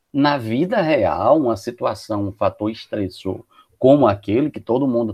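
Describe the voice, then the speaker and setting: A man talks at a fairly slow pace in a medium pitch. He has a normal speaking voice. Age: 50s. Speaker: psychologist. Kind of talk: podcast discussion.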